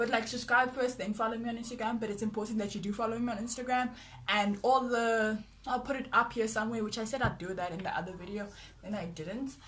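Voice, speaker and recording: Audible room echo surrounds a woman speaking very fast. Her fairly high voice keeps fairly even intonation. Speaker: vlogger. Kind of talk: casual vlog monologue.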